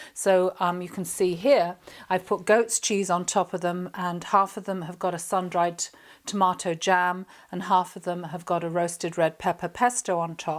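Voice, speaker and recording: Her monotone, flat intonation sits at a medium pitch, and a woman speaks with an English accent at a moderate pace with big swings in loudness. The recording is very clean, with a silent background. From England. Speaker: chef and cooking presenter. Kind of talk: cooking tutorial. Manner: chatty, casual.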